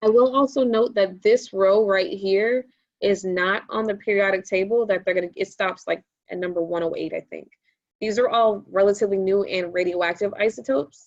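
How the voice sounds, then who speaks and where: A woman's medium-pitched, normal speaking voice with ordinary pitch variation. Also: moderate pace. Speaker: science teacher and exam prep tutor. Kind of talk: tutorial. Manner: casual, filler words.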